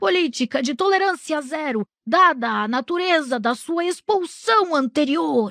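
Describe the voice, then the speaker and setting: A woman uses a raspy, croaky put-on character voice, high in pitch with very wide pitch swings. She goes at a moderate pace with hardly any pauses. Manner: strict, stern.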